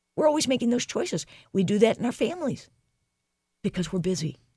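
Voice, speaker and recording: The sound is dry and close, with no echo. A woman talks with a Midwestern American accent. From US Midwest, St. Louis. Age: 60s. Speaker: leadership coach and speaker. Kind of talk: interview. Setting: studio.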